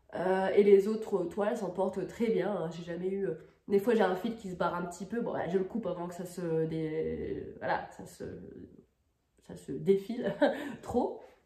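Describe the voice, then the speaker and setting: A woman speaks at a medium pitch and a fairly slow pace, leaving long, frequent pauses. Her intonation is fairly even, and audible room echo surrounds her. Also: big swings in loudness. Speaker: crafts video creator. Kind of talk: casual tutorial review. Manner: hesitant, many fillers.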